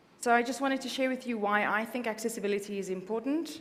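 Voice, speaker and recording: Woman's voice with ordinary pitch variation and audible room echo. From South Africa. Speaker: accessibility consultant. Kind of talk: conference presentation.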